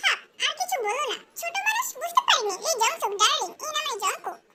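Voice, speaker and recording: A woman puts on a squeaky character voice at an extremely high pitch, talking at a moderate pace with lively intonation. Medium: fan dub. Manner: coy, teasing.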